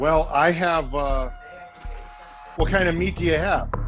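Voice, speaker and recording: Music plays in the background as a man talks at a fairly slow pace. His loudness stays very even. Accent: American. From Orange County, California. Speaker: chef. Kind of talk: casual video call chat.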